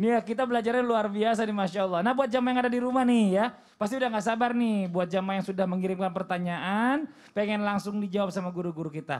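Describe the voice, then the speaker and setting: Over a quiet background, a man talks at a very fast pace, his high pitch showing ordinary variation. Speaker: TV show host. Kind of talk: religious TV talk show. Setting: studio. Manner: playful. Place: studio. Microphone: handheld.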